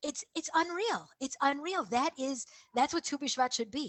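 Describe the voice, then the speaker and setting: A high-pitched woman with an American accent, a fairly slow pace and very wide pitch swings. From USA. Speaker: town council head. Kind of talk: interview. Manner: repetitive, halting.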